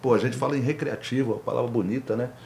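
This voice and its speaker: Somewhat breathy and dark, mellow in tone, the voice belongs to a man. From Brasília, Federal District, Brazil. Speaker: rapper and podcast host. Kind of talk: casual interview chat.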